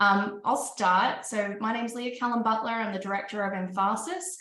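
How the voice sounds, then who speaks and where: In an Australian accent, a woman with a fairly high voice speaks at a moderate pace, with audible room echo. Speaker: panel moderator, investment firm director. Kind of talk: panel discussion.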